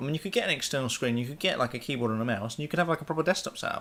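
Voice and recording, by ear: A man talks at a very fast pace with lively intonation. His tone is fairly bright.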